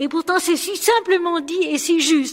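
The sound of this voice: An extremely high female voice with ordinary pitch variation. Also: moderate pace.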